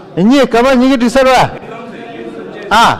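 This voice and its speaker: An extremely high-pitched male voice against noticeable background noise. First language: Tibetan. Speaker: interpreter. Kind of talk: live interpreting.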